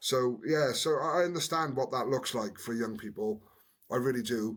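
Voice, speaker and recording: On a very clean recording with a silent background, a man with a Welsh accent speaks at a medium pitch and moderate pace, with ordinary pitch variation. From Wales, Newport. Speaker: former rugby player, community worker. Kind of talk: podcast interview, personal story. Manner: halting, many repeated words.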